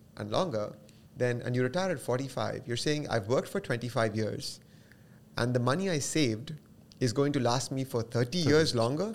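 A man with an unremarkable speaking voice talks at a medium pitch and moderate pace, with ordinary pitch variation, on a very clean recording with a silent background. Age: 40s. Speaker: financial advisor. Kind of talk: interview.

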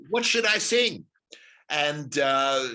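A man with an Australian accent talks in a bright, sharp tone against a quiet background. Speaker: stage actor and director. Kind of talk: interview. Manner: halting.

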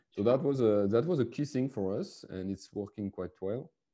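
Speaking at a moderate pace with a French accent, a man has a dark, mellow tone and ordinary pitch variation. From France. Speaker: sales leader. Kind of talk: interview. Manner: halting.

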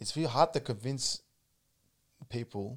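A man speaks with an Australian accent at a moderate pace. The recording is very clean, with a silent background. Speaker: martial arts coach. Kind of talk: casual chat. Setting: studio.

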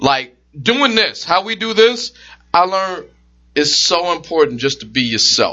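The pace is fairly slow. A man speaks at a high pitch with very wide pitch swings. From Detroit, US. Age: 30s. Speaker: podcast host. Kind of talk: casual chat.

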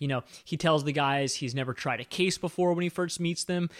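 A normal speaking voice with an American accent uses fairly even intonation. The recording is very clean with a silent background and a dry, close sound with no echo. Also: man. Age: 30s. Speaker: film podcast host. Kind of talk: casual chat.

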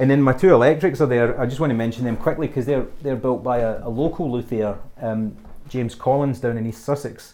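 Speaking with a west of Scotland accent, a man talks at a fairly quick pace. His voice sits at a medium pitch with fairly even intonation. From west of Scotland, small town near Glasgow. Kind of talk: casual interview. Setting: home studio. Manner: halting, many fillers and repeats.

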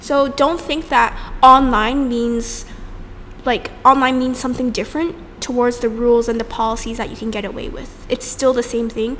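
Over noticeable background noise, a woman with a high pitch speaks at a moderate pace with ordinary pitch variation. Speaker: debate podcast co-host. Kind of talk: casual chat.

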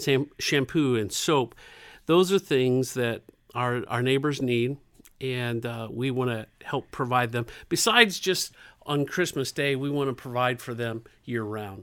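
A man's plain, everyday voice at medium pitch with ordinary pitch variation, on a very clean recording with a silent background. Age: 50s. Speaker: community center director. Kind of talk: interview.

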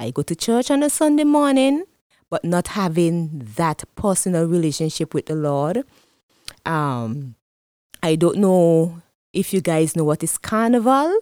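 A woman's fairly low voice in a Vincentian accent, dark and mellow, with very wide pitch swings, a fairly slow pace and long, frequent pauses, on a very clean recording with a silent background and a dry, close sound with no echo. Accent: Vincentian Caribbean English. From Saint Vincent and the Grenadines. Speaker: guest, church pastor's wife, testimony giver. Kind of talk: testimony. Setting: studio.

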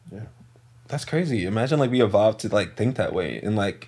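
The man talks fairly quickly, his pitch varying in an ordinary way. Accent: slight New York. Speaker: singer. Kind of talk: casual chat.

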